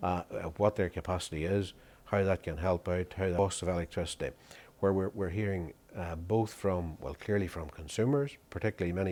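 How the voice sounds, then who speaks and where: With a very deep, low pitch and a dark, mellow tone, a man talks at a fairly quick pace using ordinary pitch variation. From Northern Ireland. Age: older. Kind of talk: interview answer.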